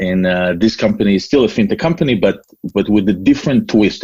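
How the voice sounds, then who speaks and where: A man speaks at a fairly quick pace with an Israeli accent. His pitch is fairly low, with ordinary variation. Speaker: entrepreneur. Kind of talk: interview. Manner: hesitant, many fillers.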